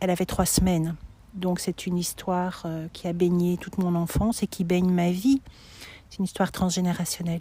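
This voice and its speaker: Her voice is dark, mellow and somewhat breathy, fairly low in pitch. The woman speaks fairly quickly in a monotone, flat way. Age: 60s. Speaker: pilgrim sharing her walk. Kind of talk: testimony interview. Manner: halting, many hesitations.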